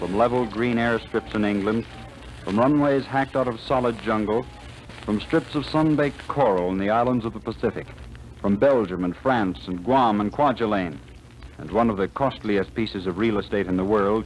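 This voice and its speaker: A man at medium pitch and moderate pace, with ordinary pitch variation and noticeable background noise. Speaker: radio announcer. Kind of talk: radio drama narration. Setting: old radio transcription disc.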